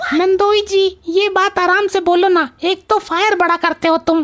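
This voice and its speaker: A woman performs a cartoonish character voice at an extremely high pitch with monotone, flat intonation. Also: moderate pace. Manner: sassy, mocking.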